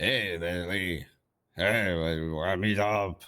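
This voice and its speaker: A man's put-on character voice, very deep and low in pitch, with fairly even intonation. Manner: tired, sluggish, lazy.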